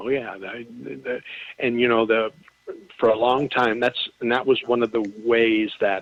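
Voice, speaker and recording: A man speaks in a normal speaking voice with medium pitch. His pace is fairly slow and his intonation fairly even. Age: 60s. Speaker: author. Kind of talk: casual chat. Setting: radio show.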